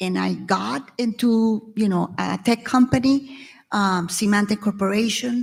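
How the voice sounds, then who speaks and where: A woman with a Venezuelan accent speaks at medium pitch and a fairly slow pace. Her somewhat breathy voice has lively intonation. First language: Spanish. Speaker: tech executive and panelist. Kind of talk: panel discussion.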